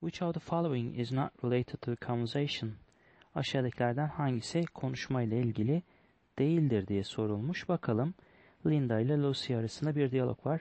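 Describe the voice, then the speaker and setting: This man has a plain, everyday voice at a medium pitch. He speaks at a moderate pace with ordinary pitch variation. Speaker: English teacher solving test questions. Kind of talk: tutorial.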